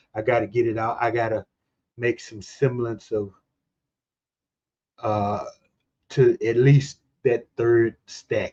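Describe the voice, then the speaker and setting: In a dry, close sound with no echo, a man speaks at a fairly slow pace and medium pitch, his tone dark, mellow and somewhat breathy. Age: 60s. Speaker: streamer hosting a movie channel. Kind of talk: casual chat. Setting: live stream.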